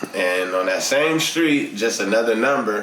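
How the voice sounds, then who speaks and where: A man with fairly low pitch speaks at a moderate pace. Audible room echo and noticeable background noise surround his voice. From Inglewood, Los Angeles, California. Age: 30s. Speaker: rapper. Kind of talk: casual interview chat. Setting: studio.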